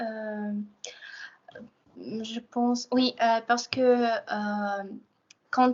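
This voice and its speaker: In a Russian accent, a woman speaks at a high pitch with fairly even intonation. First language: Russian (speaking French). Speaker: language student. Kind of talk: asking a question. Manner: halting, many hesitations.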